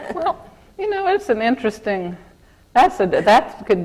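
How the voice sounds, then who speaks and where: Noticeable background noise surrounds a woman with an American accent. Her pitch swings very widely. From Kansas. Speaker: corporate lawyer. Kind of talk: interview in front of an audience. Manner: halting, with repeated false starts.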